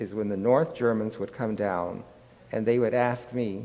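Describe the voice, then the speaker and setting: Heard with audible room echo, a man with an American accent has a dark, mellow tone at a medium pitch. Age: 90s. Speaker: psychologist. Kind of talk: lecture.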